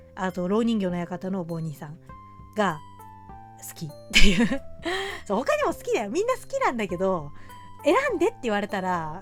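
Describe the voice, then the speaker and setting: Long, frequent pauses within a fairly quick pace, big swings in loudness, and music in the background. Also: woman. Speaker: horror movie fan and video streamer. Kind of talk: casual Q&A chat to camera. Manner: casual, rambling, chatty.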